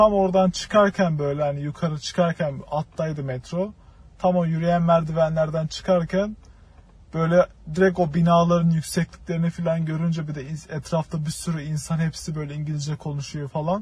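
A man speaks at a moderate pace in a high pitch. His intonation stays fairly even. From Turkey. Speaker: film student. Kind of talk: casual chat.

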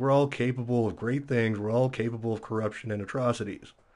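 With an ordinary speaking voice, a man talks fairly quickly at a medium pitch. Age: 30s. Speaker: geology student and musician. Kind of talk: casual chat.

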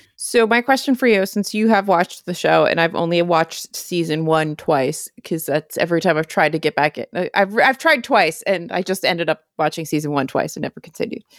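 A plain, everyday voice from a woman, fairly low in pitch, with lively intonation, a fairly quick pace and hardly any pauses, in a dry, close sound with no echo. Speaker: podcast co-host. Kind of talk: casual chat.

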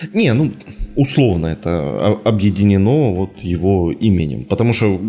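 Over noticeable background noise, a man keeps to a moderate pace. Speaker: podcast host. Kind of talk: casual chat.

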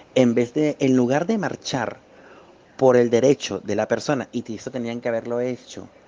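Against noticeable background noise, a man with a Venezuelan accent speaks at a fairly slow pace, his medium pitch held in fairly even intonation. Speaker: political scientist. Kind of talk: testimony.

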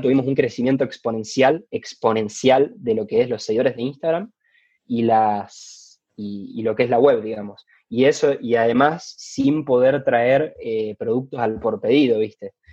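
A normal speaking voice from a man, mid-range in pitch, the pitch varying in an ordinary way. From Argentina, Rosario. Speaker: basketball player and entrepreneur. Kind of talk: interview.

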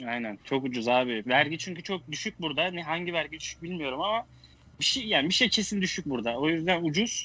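With an unremarkable speaking voice, a man talks in a fairly high register. His delivery is fairly quick, and his intonation is lively. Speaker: guest. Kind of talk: casual chat.

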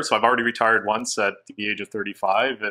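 Bright and sharp in tone, a man with a Canadian accent talks at a moderate pace with fairly even intonation. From Hamilton, Ontario, Canada. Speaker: real estate agent and former pro hockey player. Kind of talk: casual interview chat.

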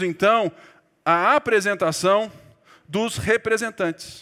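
A man with a high pitch speaks very slowly in a raised, projected voice, his tone bright and sharp and his pitch variation ordinary. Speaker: pastor. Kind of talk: sermon.

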